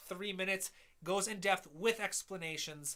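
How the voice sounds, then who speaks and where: With a Midwestern accent, a man projects a raised voice at a high pitch, his tone bright and sharp. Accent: nasal Midwestern. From US Midwest. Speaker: music composer and educator. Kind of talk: live stream feedback and Q&A. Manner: fast.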